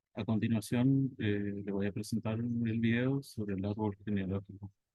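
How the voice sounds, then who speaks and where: In a normal speaking voice, a man with fairly low pitch talks at a moderate pace and fairly even intonation. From Argentina, Corrientes province. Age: 30s. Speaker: teacher. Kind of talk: presentation reading a prepared academic text. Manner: formal.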